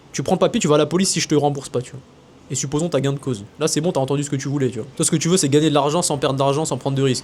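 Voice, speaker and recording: Somewhat breathy, a man talks at a very fast pace with ordinary pitch variation. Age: 20s. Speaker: business coach and content creator. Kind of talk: casual monologue to camera. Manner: animated.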